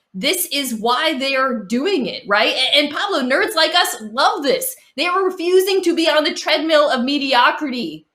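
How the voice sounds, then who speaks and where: The voice is raised and projected, with a bright, sharp tone, lively intonation and a Boston accent, at a moderate pace. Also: woman. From Boston area. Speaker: sports talk show panelist. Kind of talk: casual sports debate.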